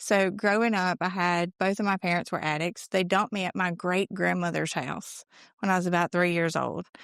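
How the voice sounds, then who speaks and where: Fairly even intonation at a moderate pace in a Mississippi accent, dry and close with no echo, over a quiet background. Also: woman. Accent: Southern US (Mississippi). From Mississippi, US South. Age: 20s. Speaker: recovery speaker. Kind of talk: testimony.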